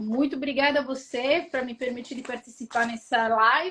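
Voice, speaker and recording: A woman speaks with an Italian accent. Her voice is high-pitched, and her pace is moderate. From Italy. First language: Italian (speaking Portuguese). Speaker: registered migration agent. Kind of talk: live stream interview.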